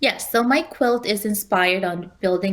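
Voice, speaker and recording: A woman with a Spanish accent, medium in pitch, at a moderate pace. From Spanish-speaking country, moved to New York City at 15. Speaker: quilt designer and teacher. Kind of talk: interview.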